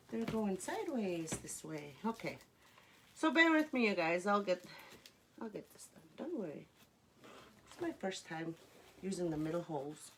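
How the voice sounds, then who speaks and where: A woman speaks at a moderate pace with long, frequent pauses. Her pitch swings very widely, and her loudness rises and falls sharply. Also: medium pitch for a woman. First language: Cree. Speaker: crafter. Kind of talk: live craft tutorial. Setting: livestream. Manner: halting, many fillers; chatty.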